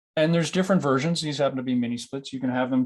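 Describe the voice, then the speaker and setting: This man speaks with a Canadian accent and fairly even intonation. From Canada. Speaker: building energy consultant. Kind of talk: webinar presentation. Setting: online webinar. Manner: hesitant, many fillers.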